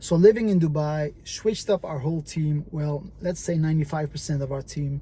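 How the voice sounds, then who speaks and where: A man speaks at a fairly quick pace with a Dutch accent and ordinary pitch variation. His pitch is fairly high, and his tone is dark and mellow. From Netherlands, Moroccan family. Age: 30s. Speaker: entrepreneur. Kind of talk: vlog monologue. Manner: halting, many fillers.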